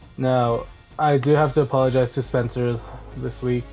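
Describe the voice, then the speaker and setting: Background music under a man's moderately paced speech. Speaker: Pokémon league analyst. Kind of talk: casual commentary to viewers.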